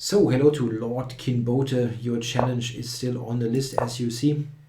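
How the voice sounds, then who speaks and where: Fairly slow speech from a man, noticeable background noise and audible room echo around it. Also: medium pitch for a man. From Germany. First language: German. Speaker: chess streamer. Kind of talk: live stream commentary and chat. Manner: hesitant, many fillers.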